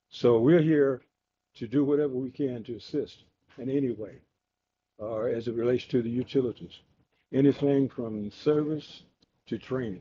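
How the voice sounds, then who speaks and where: A man speaks with a Mississippi accent at a medium pitch and a moderate pace. His intonation is fairly even, and he leaves long, frequent pauses. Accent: Southern US (Mississippi). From US South. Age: 80s+. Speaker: retired Air Force veteran speaking at city council. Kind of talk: public comment at city council meeting. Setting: city council meeting room. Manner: halting, many fillers.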